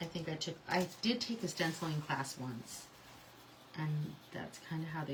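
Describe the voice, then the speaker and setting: A woman speaks at a moderate pace with a fairly low pitch. Room echo is audible. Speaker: craft tutorial host. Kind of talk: live crafting tutorial. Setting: livestream. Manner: casual, chatty.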